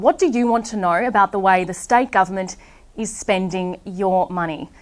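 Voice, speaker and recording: A woman's medium-pitched voice with ordinary pitch variation at a moderate pace, music playing in the background. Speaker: broadcast journalist. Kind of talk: TV news report.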